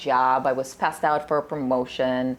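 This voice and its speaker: A woman keeps a moderate pace as noticeable background noise carries on. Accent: Russian. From Russia, moved to US at twelve. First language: Russian. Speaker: nutritionist. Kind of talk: casual interview chat. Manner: animated.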